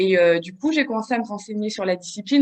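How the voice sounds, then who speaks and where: A woman talks very fast, her fairly high voice moving with ordinary pitch variation. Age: 30s. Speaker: bodybuilding competitor and fitness coach. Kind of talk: podcast interview. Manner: hesitant, many fillers.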